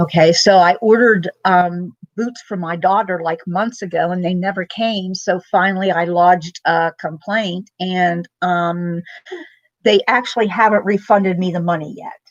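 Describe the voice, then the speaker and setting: Her pitch medium and intonation fairly even, a woman speaks at a moderate pace. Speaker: vlogger. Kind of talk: casual chat. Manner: loud; keeping voice down.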